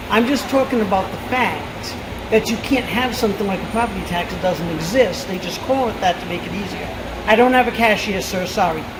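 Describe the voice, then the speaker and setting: Over noticeable background noise and audible room echo, a woman with an East Coast US accent talks at a fairly quick pace in a fairly high voice with ordinary pitch variation. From Rhode Island. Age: 50s. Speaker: store employee. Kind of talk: casual chat.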